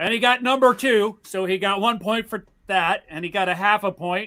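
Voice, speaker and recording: A man's raised, projected voice with a bright, sharp tone, ordinary pitch variation and an American accent. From Pennsylvania. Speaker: podcast co-host. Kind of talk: casual chat.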